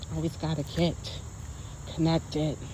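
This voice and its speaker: A woman speaks with a very deep, low pitch and a dark, mellow tone. Her voice is somewhat breathy, with fairly even intonation. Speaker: vlogger. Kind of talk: casual vlog talk. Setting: outdoors in nature. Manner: stutters at times.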